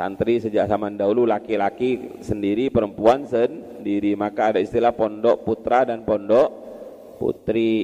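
Monotone and flat in intonation, a man's voice holds a medium pitch. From Madura, Indonesia. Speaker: Islamic boarding school teacher (kiai). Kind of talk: religious lecture, classical text study.

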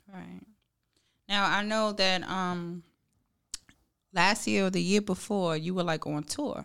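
A woman with an American accent, medium pitch and ordinary pitch variation, at a very slow pace with long, frequent pauses, on a very clean recording with a silent background. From New York. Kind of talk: casual chat.

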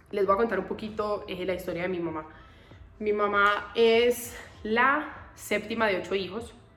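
With noticeable background noise and audible room echo, a woman speaks fairly slowly at a medium pitch with ordinary pitch variation. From Colombia. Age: 20s. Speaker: podcaster. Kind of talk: personal monologue. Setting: temporary spot in Bogotá.

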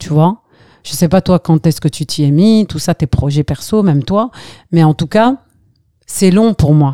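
In a very clean recording with a silent background, a woman with a fairly low pitch and a dark, mellow tone speaks at a fairly slow pace, using lively intonation and long, frequent pauses. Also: dry, close sound with no echo. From Algeria, Skikda; left at 11 for France. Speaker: actress and voice-over artist. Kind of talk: casual chat.

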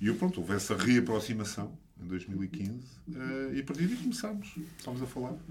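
A somewhat breathy man at medium pitch, fairly quick in pace, with very wide pitch swings and audible room echo. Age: 50s. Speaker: engineer and education entrepreneur. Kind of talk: casual chat. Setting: studio.

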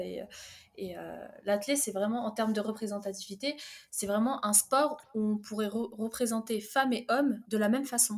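An ordinary speaking voice comes through at a moderate pace. Its pitch varies in an ordinary way. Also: woman. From France, Fontainebleau (born in Algeria). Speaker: track and field athlete. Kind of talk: casual chat.

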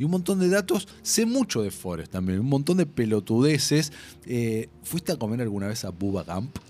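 A man's dark, mellow voice sits at a medium pitch and moves at a moderate pace with very wide pitch swings. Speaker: film podcast host. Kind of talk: casual chat.

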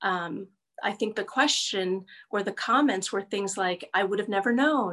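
A woman speaks fairly slowly with lively intonation and a fairly high pitch. Her tone is bright and sharp. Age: 50s. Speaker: guest sharing coming-out story. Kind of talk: personal testimony interview.

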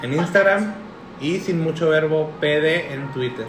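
A man's fairly high voice at a very slow pace, with audible room echo and music in the background. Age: 20s. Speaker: podcast co-host. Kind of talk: casual chat.

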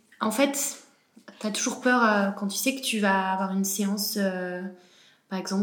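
At a medium pitch, a woman speaks at a moderate pace. Audible room echo surrounds her voice. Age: 20s. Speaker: horse rider. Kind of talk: interview. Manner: halting.

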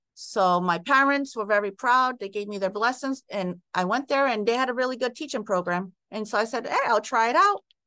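An unremarkable speaking voice, a woman talks at a fairly quick pace with hardly any pauses, a fairly high pitch and ordinary pitch variation. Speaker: school principal. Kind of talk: interview conversation.

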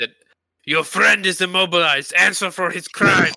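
The speaker uses a put-on character voice with a menacing tone. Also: man, high pitch for a man, moderate pace. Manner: menacing, grandiose.

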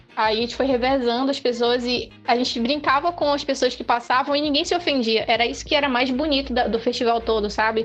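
There is music in the background as a woman talks at a high pitch. Her pace is fairly quick, with hardly any pauses. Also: ordinary pitch variation. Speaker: podcast co-host. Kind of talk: casual chat.

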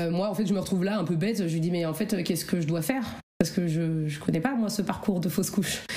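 A woman speaks at a medium pitch with ordinary variation. Room echo is audible. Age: 30s. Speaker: childcare assistant sharing fertility story. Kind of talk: personal testimony interview. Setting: at home in living room. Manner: hesitant, many fillers.

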